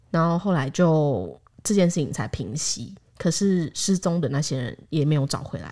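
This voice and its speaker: In a very clean recording with a silent background, a woman with a Taiwanese accent speaks at a moderate pace, her very deep, low voice carrying lively intonation. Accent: Taiwanese Mandarin. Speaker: podcast host. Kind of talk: casual chat.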